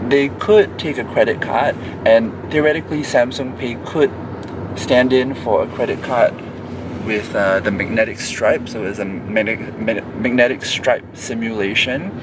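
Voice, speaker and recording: A man at a medium pitch and fairly slow pace, ordinary pitch variation, noticeable background noise. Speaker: travel vlogger in a payments challenge. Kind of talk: casual vlog narration. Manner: halting, many fillers and restarts.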